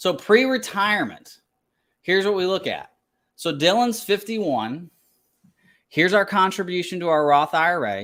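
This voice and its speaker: With a Kentucky accent, a man talks at a moderate pace in a high, bright, sharp tone with lively intonation and long, frequent pauses, recorded very cleanly over a silent background. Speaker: financial planner. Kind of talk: tutorial.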